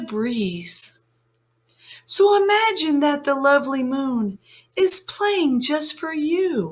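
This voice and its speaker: A woman's put-on character voice, high-pitched, fairly slow, with very wide pitch swings. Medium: read story. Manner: soft, encouraging.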